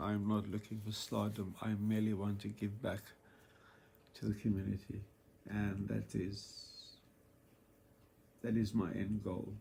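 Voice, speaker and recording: In a fairly low, somewhat breathy voice, a man speaks at a fairly slow pace with monotone, flat intonation and long, frequent pauses. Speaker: vlogger sharing cancer experience. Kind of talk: casual monologue vlog. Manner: halting, with fillers.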